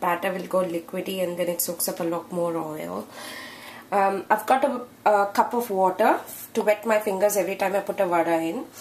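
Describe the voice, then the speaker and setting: A woman of medium pitch talks at a moderate speed with fairly even intonation while noticeable background noise carries on. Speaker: home cook. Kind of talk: cooking tutorial.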